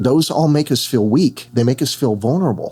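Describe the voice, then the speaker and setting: This man has a dark, mellow tone, a fairly high pitch and a somewhat breathy sound. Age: 60s. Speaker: therapist. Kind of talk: casual chat.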